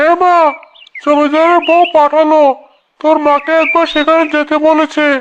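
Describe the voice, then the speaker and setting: This is a cartoonish character voice with a high pitch. It moves at a moderate pace in a monotone, flat intonation. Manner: meek, apologetic.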